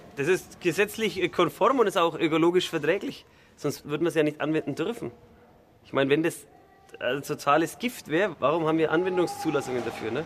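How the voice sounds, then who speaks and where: At a fairly quick pace, a man with a fairly high pitch and ordinary pitch variation talks over noticeable background noise. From Franconia, Bavaria. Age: young. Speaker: farmer. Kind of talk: interview.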